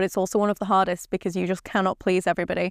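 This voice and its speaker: A woman speaks in a very clean recording with a silent background, the sound dry and close with no echo. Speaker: podcast co-host, golfer. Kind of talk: casual chat.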